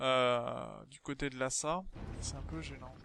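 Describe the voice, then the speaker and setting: A man speaks with a slight southern French accent. The sound is dry and close, with no echo. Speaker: gaming video creator. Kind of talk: let's play commentary. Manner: casual, hesitant with fillers.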